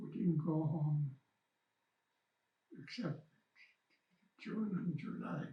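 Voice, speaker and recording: Somewhat breathy and fairly high-pitched, a man talks at a very slow pace. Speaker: First Nation elder, residential school survivor. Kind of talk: interview answer. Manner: hesitant, repeats words.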